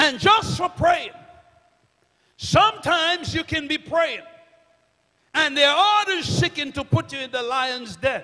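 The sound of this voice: A man speaks at an extremely high pitch with a bright, sharp tone. His intonation is lively and his pace fairly slow.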